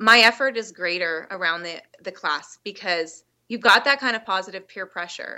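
In a plain, everyday voice, a woman speaks at a medium pitch. Her pace is moderate and her pitch varies in an ordinary way. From British Columbia, Canada. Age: 30s. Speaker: podcast guest, fitness challenge participant. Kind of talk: casual interview. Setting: Skype call.

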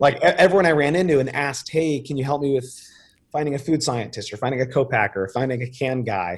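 A very fast, somewhat breathy man with an American accent, fairly high in pitch, with ordinary pitch variation. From New York suburbs, US. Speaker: beverage company founder. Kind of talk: interview. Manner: casual.

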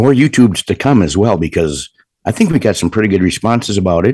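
A man with a fairly low pitch uses lively intonation, recorded with a dry, close sound and no echo. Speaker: podcast co-host.

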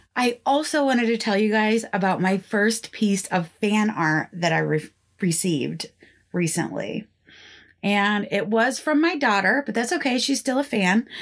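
An ordinary speaking voice comes through at a moderate pace with lively intonation and very even loudness, in a very clean recording with a silent background. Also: woman, fairly high pitch for a woman. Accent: American. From northeastern Pennsylvania. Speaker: podcast host. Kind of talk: scripted storytelling podcast narration, casual.

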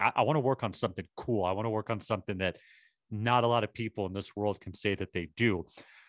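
A man with a plain, everyday voice speaks at a fairly low pitch with fairly even intonation. The sound is dry and close with no echo, on a very clean recording with a silent background. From Boston. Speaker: marketing agency owner. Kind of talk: interview.

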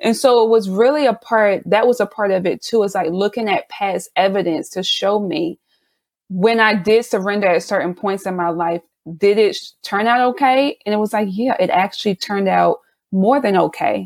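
A woman with an American accent speaks in a plain, everyday voice at medium pitch, moderate pace and ordinary pitch variation. The sound is dry and close with no echo, on a very clean recording over a silent background. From South Carolina. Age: 30s. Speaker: business owner. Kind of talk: casual interview.

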